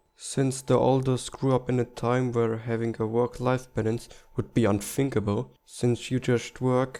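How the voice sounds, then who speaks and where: With a German accent, a man speaks at a fairly slow pace in a dark, mellow tone, his medium pitch held monotone and flat. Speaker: political commentary youtuber. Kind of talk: scripted narration.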